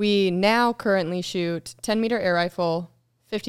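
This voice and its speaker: A normal speaking voice with ordinary pitch variation on a very clean recording with a silent background. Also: woman. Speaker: soldier. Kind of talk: casual chat.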